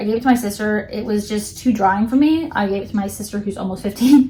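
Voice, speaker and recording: Somewhat breathy, a woman speaks at a fairly quick pace in a fairly high voice with ordinary pitch variation. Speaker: beauty vlogger. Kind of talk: product unboxing review. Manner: fast.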